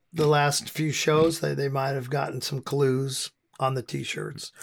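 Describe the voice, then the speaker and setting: With an American accent, a man speaks at a fairly slow pace in a fairly high pitch, an ordinary speaking voice. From US. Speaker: hardcore band frontman. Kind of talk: podcast interview. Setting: remote call.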